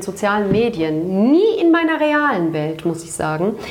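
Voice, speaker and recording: A woman's fairly high voice with lively intonation at a moderate pace, amid noticeable background noise and audible room echo. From Turkish-German background. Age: 40s. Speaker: podcast co-host. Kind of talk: casual chat. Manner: animated, laughing.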